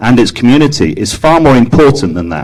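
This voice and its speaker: This man speaks with an English accent. His pace is very fast. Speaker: public commenter at county council meeting. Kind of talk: public testimony speech. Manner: formal.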